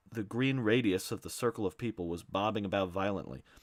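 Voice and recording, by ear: Pitch moves in an ordinary way as a natural voice reads aloud.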